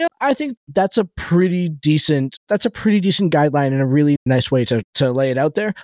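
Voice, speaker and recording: Speaking with a normal speaking voice, a man goes at a fairly quick pace with hardly any pauses, lively intonation, a fairly high pitch and very even loudness. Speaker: podcast host. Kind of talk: casual chat about game rules; infomercial-style promo read. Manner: bright, upbeat salesman pitch.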